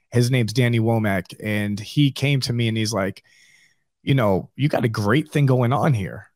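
Recorded very cleanly against a silent background, a man with an American accent uses an unremarkable speaking voice at a medium pitch, with ordinary pitch variation and a moderate pace. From New York. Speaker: barbershop owner. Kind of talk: interview.

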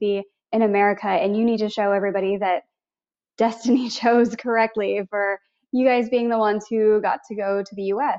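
A woman's normal speaking voice, fairly high in pitch, fairly quick, with fairly even intonation. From US Midwest, Missouri. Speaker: travel points coach and podcaster. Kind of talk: casual interview.

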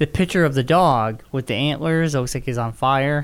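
Fairly high pitch from a man, an unremarkable speaking voice, moderate pace and ordinary pitch variation. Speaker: podcast co-host. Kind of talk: casual chat.

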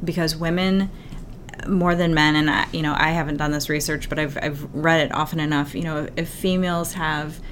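In a room with audible echo, a woman speaks at a very deep, low pitch with monotone, flat intonation. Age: 40s. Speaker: executive coach and company founder. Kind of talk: interview.

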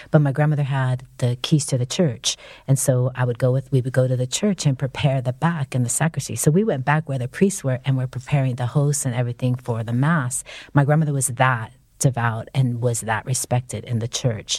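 In a very clean recording with a silent background, a woman with a very deep, low pitch talks at a fairly quick pace, somewhat breathy, with ordinary pitch variation. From San Francisco, US. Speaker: professor and writer. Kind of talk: interview conversation. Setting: studio.

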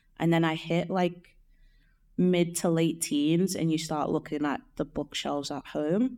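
A woman speaks with a Liverpool accent in a dark, mellow tone, at a fairly slow pace with ordinary pitch variation. The recording is very clean, with a silent background. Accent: Liverpool (Scouse). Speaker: artist, illustrator and painter. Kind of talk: interview. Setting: mansion house, in person. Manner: casual, with fillers.

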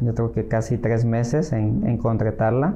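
A man with a medium pitch and a dark, mellow tone. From Mexico, Acapulco, Guerrero. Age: 40s. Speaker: real estate agent. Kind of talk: interview. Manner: hesitant, many fillers.

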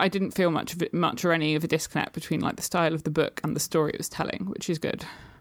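A woman with a British accent speaks at a fairly low pitch. The recording is very clean, with a silent background. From UK. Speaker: poet and small press publisher. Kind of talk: casual chat.

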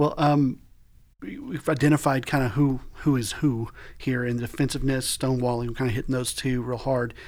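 A man with an ordinary speaking voice, medium pitch, fairly even intonation and a moderate pace. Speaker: podcast host. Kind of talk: casual chat. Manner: informal, jokey.

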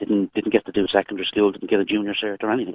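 With an Irish accent, a man speaks at a fairly low pitch. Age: 40s. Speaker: caller. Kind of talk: phone-in call, personal testimony. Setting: phone call from a vehicle.

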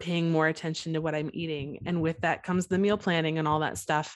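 A woman with an unremarkable speaking voice talks at a fairly low pitch with fairly even intonation over a quiet background. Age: 30s. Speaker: church worship leader and mom. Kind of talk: casual faith-based interview chat.

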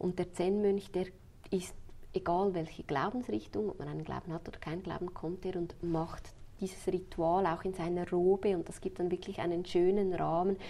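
Her tone dark and mellow, a woman speaks at a moderate pace and medium pitch, keeping her intonation fairly even. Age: 30s. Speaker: funeral planner. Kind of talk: interview.

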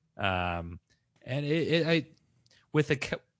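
In a dry, close sound with no echo and a quiet background, a man speaks at a fairly slow pace with very wide pitch swings. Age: 30s. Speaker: podcast host. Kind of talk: casual chat.

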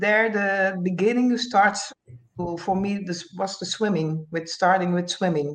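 A woman with a Dutch accent speaks at a fairly slow pace and medium pitch. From Curacao. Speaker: retired Olympic swimmer. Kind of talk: casual interview. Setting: video call from Holland. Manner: halting, non-native phrasing.

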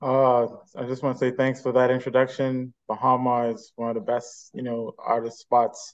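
Against a quiet background, a man of medium pitch talks at a moderate pace with monotone, flat intonation. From Bahamas. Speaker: jazz trumpeter. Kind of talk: interview.

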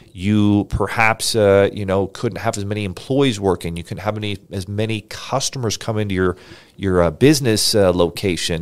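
At a moderate pace, a man speaks in an energetic tone with a fairly low pitch. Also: ordinary pitch variation, very clean recording, silent background. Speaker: podcast host, business funding entrepreneur. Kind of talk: solo podcast presentation. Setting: livestream studio. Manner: loud.

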